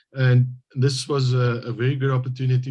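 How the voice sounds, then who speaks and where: Somewhat breathy, a man with a South African accent speaks at a medium pitch and a fairly slow pace. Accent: Afrikaans South African English. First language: Afrikaans. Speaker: government hydrogeologist, translator. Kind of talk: interview. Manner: halting.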